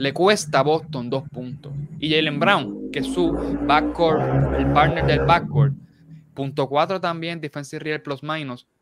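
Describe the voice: A man speaks at a fairly slow pace with vocal fry. His pitch sits fairly high. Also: ordinary pitch variation.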